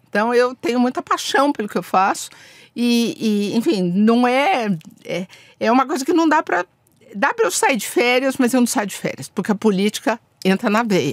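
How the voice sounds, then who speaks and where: With long, frequent pauses, a woman speaks at a high pitch in a dry, close sound with no echo. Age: 60s. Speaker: diplomat. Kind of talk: podcast interview. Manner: animated.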